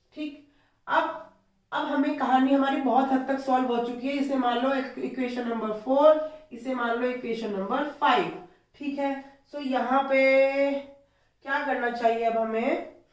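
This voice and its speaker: A woman's high-pitched voice at a very slow pace, fairly even in intonation, with audible room echo. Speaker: maths teacher. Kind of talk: tutorial.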